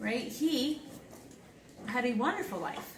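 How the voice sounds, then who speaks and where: A woman is heard in a room with audible echo. Noticeable background noise runs through the clip. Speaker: speaker sharing personal story. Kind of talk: presentation to audience.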